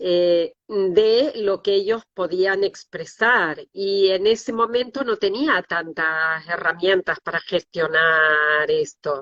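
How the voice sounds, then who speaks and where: A woman speaks at a very slow pace, with hardly any pauses. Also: medium pitch for a woman, ordinary pitch variation. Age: 60s. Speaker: decoding therapist, former anatomy lecturer. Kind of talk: interview. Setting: livestream.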